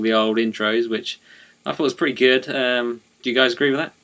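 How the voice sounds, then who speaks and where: Someone with an East of England accent talks at a fairly quick pace on a very clean recording with a silent background. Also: man. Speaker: wrestling podcast co-host. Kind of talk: casual chat. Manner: hesitant, many fillers.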